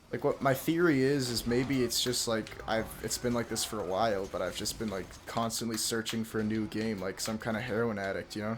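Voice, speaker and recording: Speaking at a fairly quick pace with hardly any pauses, a man at a medium pitch keeps his intonation fairly even against noticeable background noise. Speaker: YouTuber and streamer. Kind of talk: casual monologue vlog. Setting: late at night at home. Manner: quiet, soft-spoken; hesitant, full of fillers.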